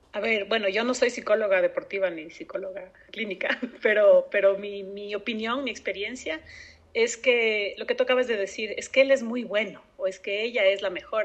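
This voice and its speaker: Her voice swings widely in loudness and sits fairly high in pitch. The woman talks at a moderate pace. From Ecuador. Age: 30s. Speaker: open-water swimmer. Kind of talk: interview. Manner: halting.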